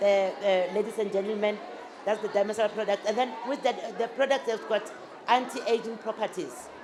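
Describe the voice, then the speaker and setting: Over crowd noise and audible room echo, a woman talks at a fairly quick pace in a fairly high voice with ordinary pitch variation. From South Africa, Limpopo. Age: 60s. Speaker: business owner. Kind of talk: interview before a live audience. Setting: stage with audience. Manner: halting, many fillers and restarts.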